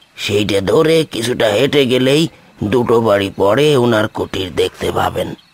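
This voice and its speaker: A man uses a cartoonish character voice at a medium pitch, with ordinary pitch variation and a fairly slow pace. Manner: anxious, chatty.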